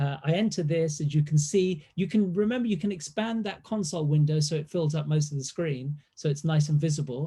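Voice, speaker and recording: A fairly quick pace on a very clean recording with a silent background. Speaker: university lecturer. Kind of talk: lecture Q&A.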